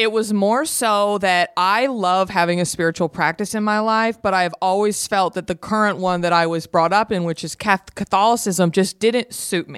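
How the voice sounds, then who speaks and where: A woman with a slight Southern US accent speaks at a moderate pace with a medium pitch and fairly even intonation, in a dry, close sound with no echo. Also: hardly any pauses, very clean recording, silent background. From Texas, Garland (Dallas suburb). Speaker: podcaster. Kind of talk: casual chat.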